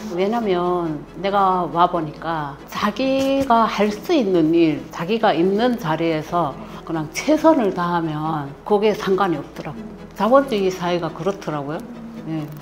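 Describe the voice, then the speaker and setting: In a strong North Korean accent, a woman speaks at a fairly slow pace with a fairly low pitch and lively intonation. Room echo is audible, and music plays in the background. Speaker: North Korean defector, mother-in-law. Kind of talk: interview.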